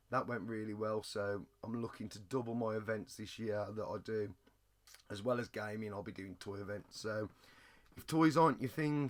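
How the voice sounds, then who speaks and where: With an English accent, a man speaks at a moderate pace in a fairly low pitch with ordinary pitch variation. The recording is very clean, with a silent background. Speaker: retro gaming and toy reseller YouTuber. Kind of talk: casual vlog.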